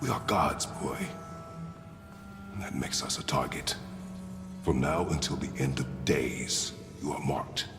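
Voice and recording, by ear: A man's put-on character voice, extremely low in pitch with vocal fry, at a fairly slow pace with long, frequent pauses over clear background music. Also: ordinary pitch variation.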